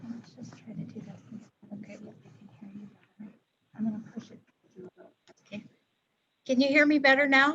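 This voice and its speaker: Soft-spoken and fairly high-pitched, a woman talks at a moderate pace with ordinary pitch variation, big swings in loudness and long, frequent pauses. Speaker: applicant's representative at city council. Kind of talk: public hearing presentation. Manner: hesitant, many fillers. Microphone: too quiet, hard to hear.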